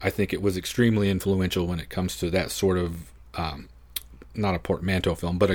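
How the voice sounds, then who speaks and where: A man's very deep, low-pitched voice. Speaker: guest film podcaster. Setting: video call.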